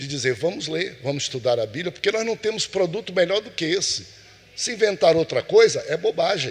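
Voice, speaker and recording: A man's voice with vocal fry, very wide pitch swings and a fairly quick pace. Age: 60s. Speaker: pastor teaching Sunday school. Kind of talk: Bible class lesson.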